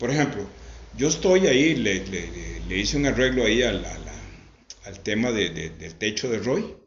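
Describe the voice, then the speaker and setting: A man speaks at a moderate pace with big swings in loudness. The room echo is audible. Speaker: religious home broadcaster. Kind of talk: testimony.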